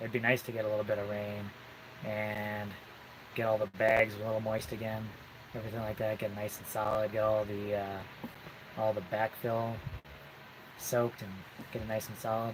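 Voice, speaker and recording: A soft-spoken man talks at a moderate pace in a fairly low, flat monotone, leaving long, frequent pauses. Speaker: off-grid homesteader. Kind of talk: casual chat. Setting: live stream. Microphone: hand in front of mouth, quiet.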